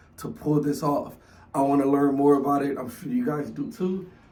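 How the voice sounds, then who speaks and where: An animated, somewhat breathy man's voice at a fairly high pitch, with ordinary pitch variation and audible room echo. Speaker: youtube reactor. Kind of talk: casual chat.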